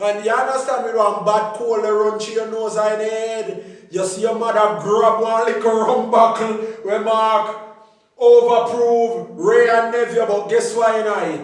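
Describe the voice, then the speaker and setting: This man has a Jamaican accent and a high pitch for a man, and he speaks at a fairly slow pace in a monotone, flat intonation, with noticeable background noise and audible room echo. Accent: Jamaican patois. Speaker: food and remedy vlogger. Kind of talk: casual vlog.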